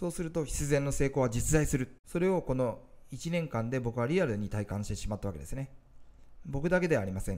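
A man with a dark, mellow tone and medium pitch talks at a fairly quick pace with lively intonation. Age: 40s. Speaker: business coach and online entrepreneur. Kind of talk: motivational talk to camera.

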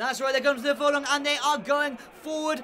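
The voice is animated and energetic, raised and projected at a fairly quick pace. Noticeable background noise runs underneath. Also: man. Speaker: horse race commentator. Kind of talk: live race commentary for a virtual horse racing game, played as a mock race call. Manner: fast, building excitement, animated and rising in pitch toward the finish; stock commentator phrases, fluent and energetic.

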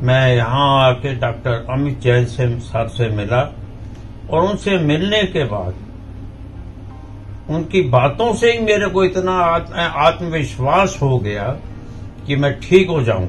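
Faint music plays behind a man with a fairly high pitch who speaks very slowly, with long, frequent pauses and very wide pitch swings. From India, Madhya Pradesh (Jabalpur); Madhya Pradesh, India. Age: 70s. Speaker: patient. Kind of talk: testimonial.

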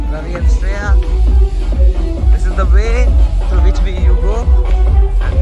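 Music plays in the background. The sound itself is dry, with no echo. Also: man. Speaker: travel vlogger. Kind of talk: casual vlog narration. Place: garden.

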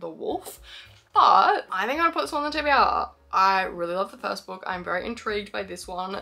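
A woman's voice with music in the background. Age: 20s. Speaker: booktuber. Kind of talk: casual vlog chat. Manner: animated.

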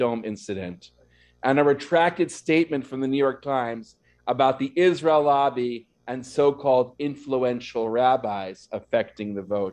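The setting is quiet. A man talks at a moderate pace. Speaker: rabbi. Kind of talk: sermon. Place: church. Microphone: podium.

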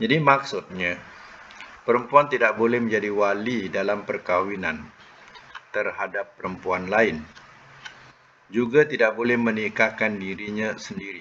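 Pausing long and often, a man speaks at a fairly slow pace with ordinary pitch variation over light background noise. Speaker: religious teacher. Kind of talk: lecture. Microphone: video call.

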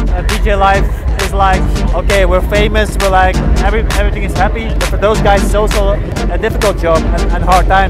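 A man at a fairly quick pace, dry sound with no echo, loud music in the background. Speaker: photographer. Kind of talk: interview answer. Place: open country.

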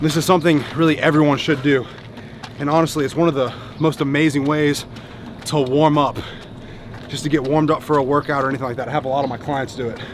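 Speech comes in a flat monotone at a very fast pace. The sound is dry with no echo, over light background noise. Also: man. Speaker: fitness coach vlogger. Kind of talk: tutorial. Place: street. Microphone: phone near.

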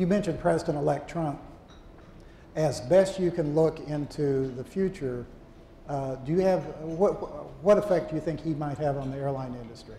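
With ordinary pitch variation, a man speaks at a moderate pace in a fairly high voice. Audible room echo and light background noise are present. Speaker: retired aviation journalist and interviewer. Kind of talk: onstage interview. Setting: stage with audience. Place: hall. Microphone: lapel.

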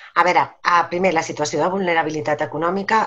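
A woman talks at a fairly quick pace in a fairly low pitch. Her pitch varies in an ordinary way. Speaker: lawyer and legal trainer; lawyer, legal trainer. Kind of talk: webinar lecture. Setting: video call. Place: home room. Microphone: webcam.

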